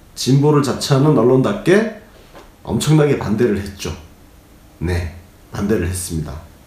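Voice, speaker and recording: At a moderate pace with long, frequent pauses, a man at medium pitch swings very widely in pitch. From Gyeongsang region, South Korea. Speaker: political commentator, former journalist. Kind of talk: political commentary briefing. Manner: conversational, opinionated, fillers.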